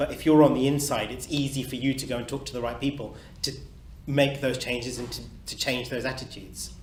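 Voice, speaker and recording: A man with a medium pitch talks at a very fast pace in a monotone, flat intonation, with big swings in loudness and audible room echo. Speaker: dentist. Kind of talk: panel Q&A.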